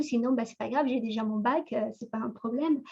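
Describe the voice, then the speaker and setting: In a high voice, a woman speaks with ordinary pitch variation. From Ecuador. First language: Spanish (speaking French). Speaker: entrepreneur, conference speaker. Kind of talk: talk on professional background. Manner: halting, many fillers and repetitions.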